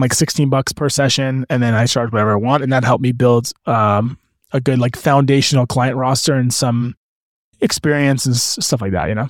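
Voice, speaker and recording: A man with a Canadian accent and an ordinary speaking voice, medium pitch, fairly even intonation, and a fairly quick pace, on a very clean recording with a silent background. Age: 30s. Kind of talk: casual chat.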